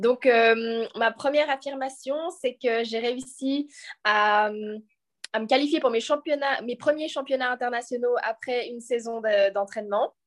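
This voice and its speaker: A woman's high-pitched voice at a moderate pace, with ordinary pitch variation, against a quiet background. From French-speaking Switzerland, Lausanne. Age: 20s. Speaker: professional sprinter. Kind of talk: casual chat. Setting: video call.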